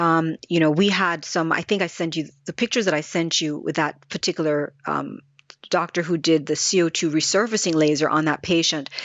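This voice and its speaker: A woman with a plain, everyday voice speaks at a fairly quick pace, her fairly low pitch holding a fairly even intonation. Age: 50s. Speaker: skincare company founder. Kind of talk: casual interview.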